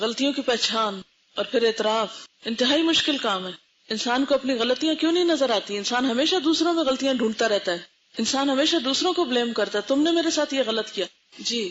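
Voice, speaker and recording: Here is a woman with a high-pitched voice. Her intonation is lively. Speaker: Islamic scholar giving a lecture. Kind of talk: religious lecture to an audience. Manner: teaching, question-and-answer style with the audience.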